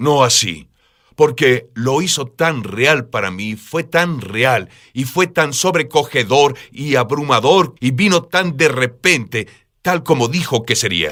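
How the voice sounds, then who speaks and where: Against a silent background in a very clean recording, a man of medium pitch speaks very slowly with lively intonation. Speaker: preacher. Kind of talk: interview. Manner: urgent.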